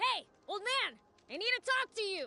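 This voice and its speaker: In a put-on character voice pitched extremely high, the speaker goes at a moderate pace. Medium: video game.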